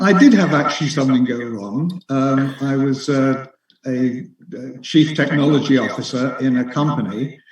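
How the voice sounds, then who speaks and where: At a moderate pace, the speaker uses ordinary pitch variation in an English accent. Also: man, medium pitch for a man. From England. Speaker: author. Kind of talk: interview. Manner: halting, with many fillers.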